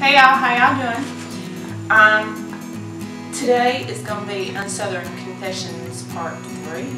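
With clear music in the background and audible room echo, a woman speaks at a fairly slow pace with long, frequent pauses. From North Carolina / South Carolina, USA. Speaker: indie author. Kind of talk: casual vlog talk to camera. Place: home room. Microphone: camera far.

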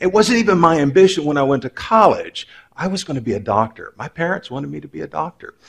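Talking at a very fast pace, a man uses a high pitch with very wide pitch swings. His loudness swings widely too, over a quiet background. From Texas, Waco. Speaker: religion professor. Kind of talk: lecture. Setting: stage with audience. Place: stage.

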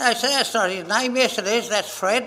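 A man's high-pitched, raised and projected voice with an Australian accent, at a moderate pace and with fairly even intonation. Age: 80s+. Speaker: Men's Shed member, storyteller. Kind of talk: casual interview answer. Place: workshop.

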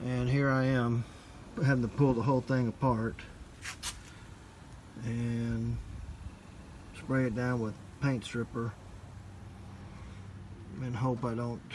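The speech is fairly slow, broken by long, frequent pauses. Noticeable background noise runs underneath. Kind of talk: casual vlog chat. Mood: frustrated, resigned. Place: garden. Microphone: phone near.

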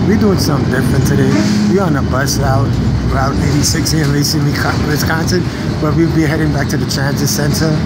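Very fast speech from a man over loud background noise. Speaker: bus rider vlogger. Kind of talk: casual vlog chat. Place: bus. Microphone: phone near.

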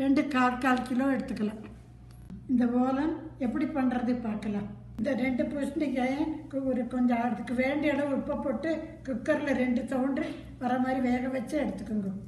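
A woman's high-pitched voice amid audible room echo and light background noise. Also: fairly even intonation. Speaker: home cook. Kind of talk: cooking demonstration. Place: home room. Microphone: phone near.

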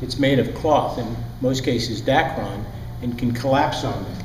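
Amid light background noise and audible room echo, a man talks at a fairly slow pace. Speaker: sailing instructor. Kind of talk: lecture. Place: classroom. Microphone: lapel.

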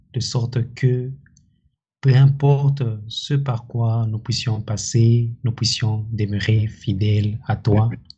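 Somewhat breathy speech moves at a very slow pace with fairly even intonation against a quiet background. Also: man. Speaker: church member leading closing prayer. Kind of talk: prayer. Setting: church. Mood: solemn, earnest. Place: home room.

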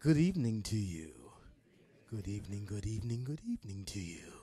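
A man's put-on character voice, fairly low in pitch, at a fairly quick pace. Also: lively intonation. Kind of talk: smooth, polished broadcast. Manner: cheery, welcoming.

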